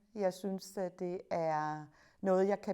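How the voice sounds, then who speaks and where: Her pitch rises and falls in an ordinary way. The woman's voice sits at a medium pitch. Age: 60s. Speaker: media studies teacher. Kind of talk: interview. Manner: hesitant fillers.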